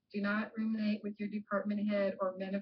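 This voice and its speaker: A woman is speaking. She talks at a fairly quick pace. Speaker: professor. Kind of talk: lecture.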